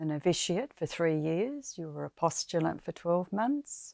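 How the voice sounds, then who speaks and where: A woman with an Australian accent at a fairly slow pace, the sound dry and close with no echo, in a very clean recording with a silent background. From South Australia. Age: 80s+. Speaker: former nun and teacher. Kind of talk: personal life story interview. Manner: hesitant, many fillers.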